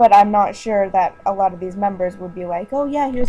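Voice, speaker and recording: A woman speaks quietly at a medium pitch and a moderate pace. Noticeable background noise runs underneath. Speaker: online community site admin. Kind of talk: casual voice message to site staff.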